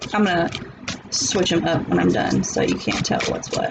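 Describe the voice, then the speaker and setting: A woman speaks with a Southern US accent at a fairly slow pace. Noticeable background noise and audible room echo are present. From US South. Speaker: tarot reader. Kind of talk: tarot reading. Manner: animated.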